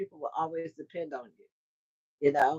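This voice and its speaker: In a dry, close recording with no echo, a woman speaks at a moderate pace in an American accent. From US South, Mississippi. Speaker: trucking recruiter and carrier owner. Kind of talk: livestream talk. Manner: animated.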